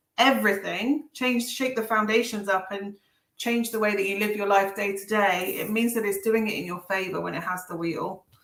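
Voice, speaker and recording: With an Essex accent, a woman speaks at a fairly high pitch and a moderate pace. Her pitch variation is ordinary. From Essex, England. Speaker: tarot reader. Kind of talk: live stream tarot readings. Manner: casual chatty.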